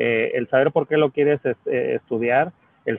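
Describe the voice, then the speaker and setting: A man talks at a moderate pace. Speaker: business executive. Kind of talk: panel discussion. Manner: halting, many fillers and repetitions.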